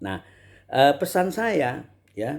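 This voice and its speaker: A man's voice with lively intonation on a very clean recording with a silent background. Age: 60s. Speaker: Islamic preacher and table tennis player. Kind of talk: casual advice monologue. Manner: halting, many fillers.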